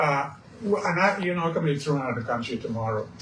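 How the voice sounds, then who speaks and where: The voice moves at a fairly quick pace with lively intonation, with audible room echo and noticeable background noise. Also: man. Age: 80s+. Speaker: radio host. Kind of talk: radio interview. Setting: radio studio. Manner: halting.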